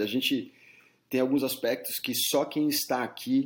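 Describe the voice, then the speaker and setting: A man speaks at a fairly slow pace in a plain, everyday voice with ordinary pitch variation. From São Paulo, Brazil. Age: 40s. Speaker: headhunter. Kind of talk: interview.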